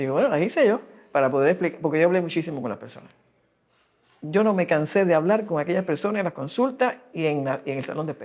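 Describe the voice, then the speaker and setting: In a Cuban accent, a woman speaks very fast in a fairly low voice with lively intonation. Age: 80s+. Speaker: epidemiologist. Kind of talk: interview answer.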